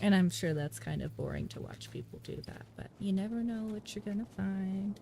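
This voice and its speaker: A soft-spoken woman talks at a moderate pace with big swings in loudness. Noticeable background noise sits behind her. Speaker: gaming streamer. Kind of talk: casual live-stream chat. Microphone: voice too quiet relative to game audio.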